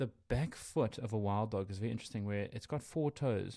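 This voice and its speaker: This man has a medium pitch, a dark, mellow tone and ordinary pitch variation, with a South African accent. The sound is dry and close with no echo. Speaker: wildlife podcast co-host. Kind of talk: casual educational podcast chat. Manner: conversational, hesitant with fillers.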